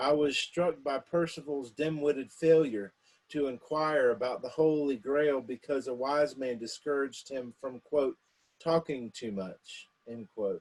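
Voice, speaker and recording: A man talks at a fairly slow pace with an American accent, in a normal speaking voice with a fairly high pitch and ordinary pitch variation. The sound is dry and close, with no echo. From South Carolina. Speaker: poet. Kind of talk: introduction to a poetry reading.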